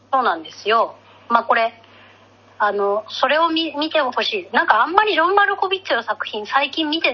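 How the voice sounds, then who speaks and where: High-pitched woman with very wide pitch swings, a fairly quick pace and noticeable background noise. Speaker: podcast co-host. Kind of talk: casual chat. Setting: remote recording.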